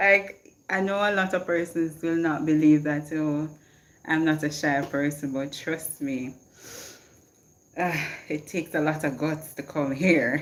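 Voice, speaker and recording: A woman with a very deep, low voice and a Jamaican accent talks at a fairly slow pace with fairly even intonation and long, frequent pauses. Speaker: motivational livestreamer. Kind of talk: casual livestream chat. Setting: live stream. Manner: code-switching between patois and English.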